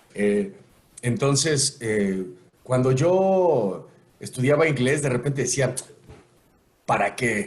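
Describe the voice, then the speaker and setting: Very slow and with long, frequent pauses, a man speaks at medium pitch with lively intonation. His voice is somewhat breathy, and his loudness stays very even. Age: 40s. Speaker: voice actor. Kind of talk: podcast interview answer. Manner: casual, conversational.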